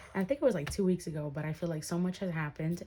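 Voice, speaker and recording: A woman with a dark, mellow tone speaks in a somewhat breathy, fairly low voice with ordinary pitch variation. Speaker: budgeting vlogger. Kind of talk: casual tutorial vlog. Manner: soft-spoken, whispering; hesitant, many fillers.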